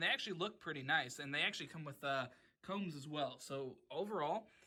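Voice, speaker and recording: The man's raised, projected voice carries a bright, sharp tone. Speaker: tech YouTuber. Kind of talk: casual tutorial vlog. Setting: home basement at night. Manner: casual with filler words.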